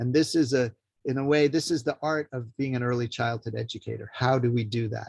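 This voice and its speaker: A man's somewhat breathy voice at a moderate pace with fairly even intonation, in a dry, close sound with no echo. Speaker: early childhood educator and teacher trainer. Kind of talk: lecture.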